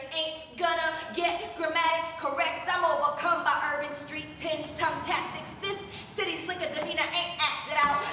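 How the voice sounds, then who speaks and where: With music in the background and audible room echo, a woman in a Puerto Rican accent speaks in a raised, projected, extremely high voice at a moderate pace with monotone, flat intonation. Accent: Puerto Rican inflected. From Chicago, Puerto Rican family. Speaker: slam poet. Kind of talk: spoken word performance. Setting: open mic at coffeehouse. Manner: rhythmic.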